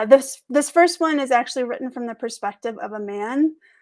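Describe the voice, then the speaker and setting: Words come at a very fast pace with ordinary pitch variation in a very clean recording with a silent background. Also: woman. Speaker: reader at an open mic, sharing her own stories. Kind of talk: dramatic reading of fiction.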